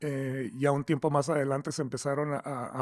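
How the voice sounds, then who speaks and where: Man with a fairly high pitch. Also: very clean recording, silent background. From Mexico, Tijuana. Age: 60s. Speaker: software company founder. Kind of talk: interview. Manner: halting, many repeated words.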